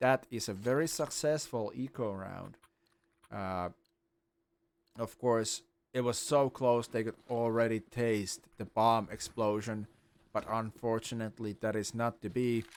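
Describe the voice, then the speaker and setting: His intonation stays fairly even. The man leaves long, frequent pauses. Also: medium pitch for a man, fairly slow pace. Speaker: esports caster. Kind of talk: live commentary. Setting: live stream. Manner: loud.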